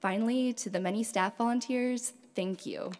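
This woman's voice has ordinary pitch variation. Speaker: program manager. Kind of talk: formal welcome and announcements. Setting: stage with audience. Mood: warm, friendly. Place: stage. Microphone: podium.

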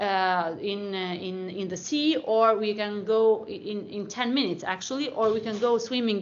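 A woman speaking at a fairly slow pace with fairly even intonation. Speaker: presenter. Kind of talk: presentation. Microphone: video call.

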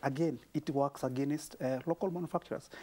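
Here a man with a Kenyan accent speaks at a fairly quick pace in a dark, mellow tone, his fairly high pitch held in fairly even intonation. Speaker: small business advocate. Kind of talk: TV panel discussion. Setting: TV studio. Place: studio. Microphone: lapel.

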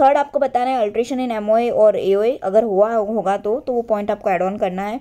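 A woman speaks at a moderate pace in a fairly high pitch. Her tone is dark and mellow, and her intonation stays fairly even. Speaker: online tutor for company secretary exam. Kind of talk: lecture.

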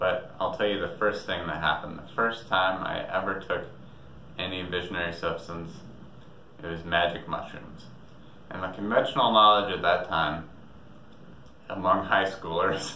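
There is light background noise and audible room echo as a man talks at a moderate pace with long, frequent pauses. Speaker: storyteller vlogger. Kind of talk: casual vlog storytelling. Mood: relaxed, reflective, amused. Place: home room.

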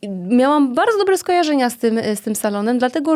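Very fast and lively in intonation, a woman speaks at a fairly high pitch. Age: 30s. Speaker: entrepreneur and dance school owner. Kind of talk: casual chat. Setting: studio.

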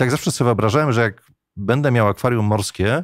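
With vocal fry, a man talks at a very fast pace in a dry sound with no echo against a quiet background. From Poland. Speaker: radio journalist, voice actor. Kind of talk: podcast interview answer. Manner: casual, anecdotal. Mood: relaxed, smiling storytelling. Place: studio. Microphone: studio mic.

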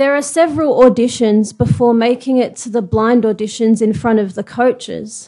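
With an Australian accent, a woman speaks at a moderate pace with hardly any pauses, her fairly high pitch showing ordinary variation and a dark, mellow tone. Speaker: blind singer. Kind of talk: prepared speech. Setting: stage with audience.

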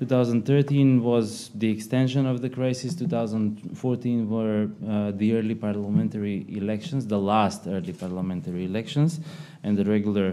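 At a moderate pace, a man with a fairly low pitch and a dark, mellow tone speaks with ordinary pitch variation. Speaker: policy analyst. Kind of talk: seminar presentation. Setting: stage with audience. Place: meeting room. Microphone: podium.

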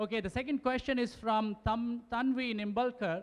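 A man speaks at an extremely high pitch and a moderate pace. His intonation stays fairly even.

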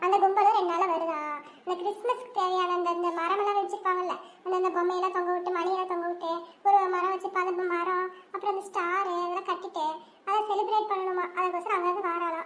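A woman puts on a cartoonish character voice, extremely high in pitch and monotone, flat in intonation, at a moderate pace. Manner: fast, scolding.

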